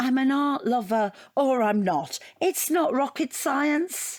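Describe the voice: A woman speaks slowly in a put-on character voice, pitched high and full of lively intonation.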